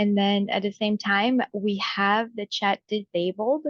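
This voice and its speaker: At a fairly slow pace, a woman speaks in a Brazilian Portuguese accent at a medium pitch. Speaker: enrollment coordinator at a study abroad organization. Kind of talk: webinar presentation. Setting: video call webinar.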